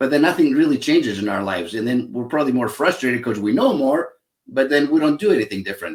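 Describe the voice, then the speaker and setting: With a Greek accent, a man talks at a very fast pace. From Greece (Athens). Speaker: psychologist, happiness expert and author. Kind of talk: interview. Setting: live online show.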